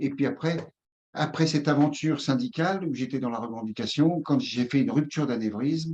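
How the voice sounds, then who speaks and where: Lively intonation marks this man's voice. He keeps a moderate pace. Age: 60s. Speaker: somatotherapist and former trade union leader. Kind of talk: interview. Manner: halting.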